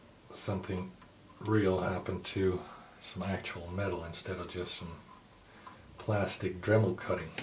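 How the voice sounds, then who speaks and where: Delivered in a flat monotone at a fairly slow pace with long, frequent pauses, the speech carries audible room echo and noticeable background noise. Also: man. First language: not English. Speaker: hobbyist tutorial maker. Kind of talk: tutorial. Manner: casual, hesitant with fillers.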